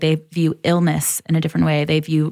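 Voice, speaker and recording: Using a normal speaking voice, a woman with an American accent talks at a fairly quick pace. The recording is very clean, with a silent background. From Michigan, Detroit area (Troy). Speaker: naturopathic doctor and content executive. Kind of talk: casual interview chat.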